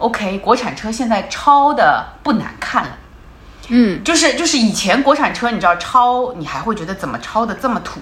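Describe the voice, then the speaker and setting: A woman's fairly high voice at a moderate pace, lively in intonation, with big swings in loudness and noticeable background noise. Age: 40s. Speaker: former car brand marketing head. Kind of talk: casual chat. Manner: repetitive stammering.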